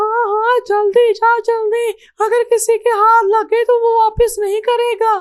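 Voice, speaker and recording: A female-sounding, cartoonish character voice with an extremely high pitch speaks at a fairly slow pace. The intonation stays monotone and flat, with hardly any pauses. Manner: scolding, bossy.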